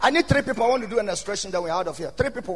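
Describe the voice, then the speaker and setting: With noticeable background noise behind him, a man talks in an animated tone at a high pitch. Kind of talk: sermon. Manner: rousing, repetitive, rising intensity with call-and-response.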